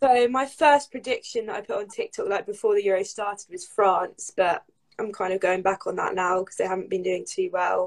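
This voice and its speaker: A woman with a southern English accent at a fairly quick pace. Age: 20s. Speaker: footballer and social media creator. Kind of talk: casual chat.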